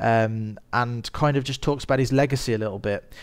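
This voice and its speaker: A man with a Birmingham accent, medium pitch and fairly even intonation, in a very clean recording with a silent background. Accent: Birmingham (Brummie). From Birmingham, England. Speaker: podcast host and filmmaker. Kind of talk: solo podcast monologue on film news. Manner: casual with frequent fillers.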